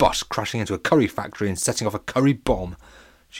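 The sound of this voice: Someone reads in an unforced voice.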